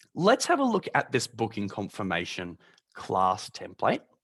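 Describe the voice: A man puts on a croaky character voice at a medium pitch and a moderate pace, in a dry, close sound with no echo.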